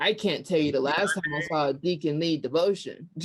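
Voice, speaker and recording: A woman speaks with an American accent in a normal speaking voice. Her pitch is fairly low. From US South, Georgia. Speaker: podcast host. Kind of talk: casual chat.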